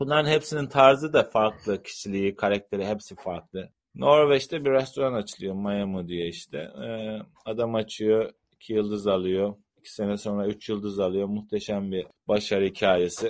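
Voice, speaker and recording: A normal speaking voice from a man, fairly low in pitch, with ordinary pitch variation. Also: moderate pace, big swings in loudness. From Turkey. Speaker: chef and restaurant owner. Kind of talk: interview.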